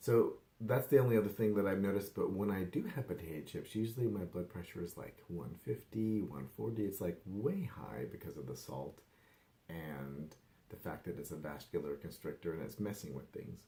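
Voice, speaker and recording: A man with a fairly low pitch and a dark, mellow tone speaks with lively intonation, vocal fry, and big swings in loudness. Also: moderate pace. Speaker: wellness vlogger and life coach. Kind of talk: casual vlog update. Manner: rambling, filler-heavy.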